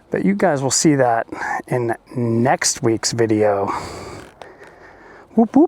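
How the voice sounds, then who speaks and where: A man's medium-pitched voice at a very slow pace, with long, frequent pauses and ordinary pitch variation, dry and close with no echo, over noticeable background noise. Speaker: motorcycle vlogger. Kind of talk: casual vlog narration. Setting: outdoors. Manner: loud.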